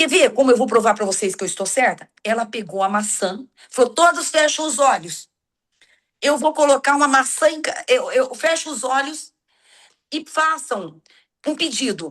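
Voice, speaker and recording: Taking long, frequent pauses, a woman speaks at a moderate pace in a high voice with lively intonation. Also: quiet background. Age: 60s. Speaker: church teacher. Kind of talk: religious lesson. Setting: video call.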